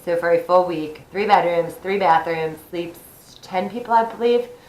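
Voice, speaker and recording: At a moderate pace, the speaker keeps a fairly even intonation while room echo is audible. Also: woman. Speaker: vlogger. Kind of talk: casual tutorial. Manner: chatty, informal.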